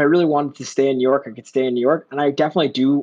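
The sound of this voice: In an American accent, a man talks at a medium pitch with a slightly mellow tone and fairly even intonation.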